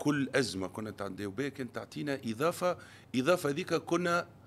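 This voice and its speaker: Speaking at a moderate pace, a man uses a medium-pitched voice with very wide pitch swings. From Tunisia. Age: 40s. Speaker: businessman; podcast guest. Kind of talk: interview. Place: studio. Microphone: studio mic.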